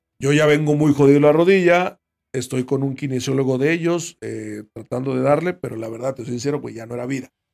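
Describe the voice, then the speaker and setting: Here a man has an unremarkable speaking voice with a fairly high pitch. He talks at a fairly quick pace. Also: fairly even intonation. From Mexico, Veracruz. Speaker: retired footballer. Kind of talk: casual chat.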